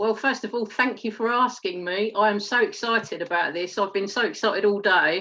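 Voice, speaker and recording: A woman with an Essex accent speaks at a fairly quick pace with hardly any pauses, her fairly high voice bright and sharp in tone over fairly even intonation. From England, Essex. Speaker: network marketer, former detective. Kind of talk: testimony interview. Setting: live stream.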